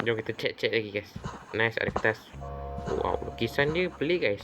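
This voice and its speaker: Music in the background behind speech at a moderate pace. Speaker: gaming youtuber. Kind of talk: gameplay commentary. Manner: quiet, subdued.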